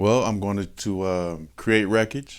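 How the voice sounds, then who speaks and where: An ordinary speaking voice from a man with an American accent, fairly low in pitch, with fairly even intonation. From Michigan. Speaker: person in addiction recovery. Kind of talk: testimony. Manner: casual, conversational.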